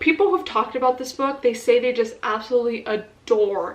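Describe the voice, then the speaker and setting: Her voice is high-pitched and animated, moving at a moderate pace with ordinary pitch variation. Noticeable background noise runs behind this woman. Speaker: book vlogger. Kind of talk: casual vlog talk to camera.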